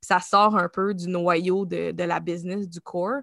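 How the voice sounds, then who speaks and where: In a Quebec accent, a woman speaks with a medium pitch, a bright, sharp tone and monotone, flat intonation. The sound is dry and close with no echo, against a quiet background. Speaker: creative agency founder and art director. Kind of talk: interview.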